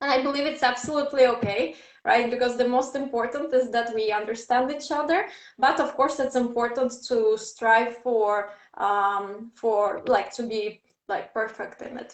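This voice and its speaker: A woman speaks at a high pitch in a Russian accent. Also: ordinary pitch variation, moderate pace. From Ukraine. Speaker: English teacher and event host. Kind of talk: interview / panel discussion.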